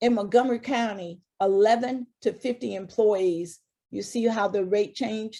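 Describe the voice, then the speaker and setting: This is an unremarkable speaking voice, a woman with fairly high pitch and ordinary pitch variation talking at a moderate pace. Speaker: HR consultant presenter. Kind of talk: webinar presentation.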